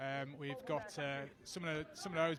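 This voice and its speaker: In a Yorkshire accent, a man speaks at a fairly high pitch. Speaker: tag rugby licensing manager, co-commentator. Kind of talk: live sports commentary. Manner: halting, many fillers.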